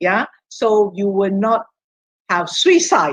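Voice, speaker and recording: A woman's somewhat breathy voice with very wide pitch swings, dry and close with no echo. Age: 60s. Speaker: health product speaker. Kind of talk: interactive online seminar, Q&A. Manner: halting.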